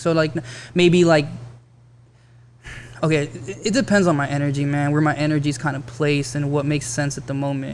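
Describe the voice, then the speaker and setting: A man talks at a very fast pace in a fairly high voice for a man, with audible room echo. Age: 30s. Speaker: rapper. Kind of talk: casual chat.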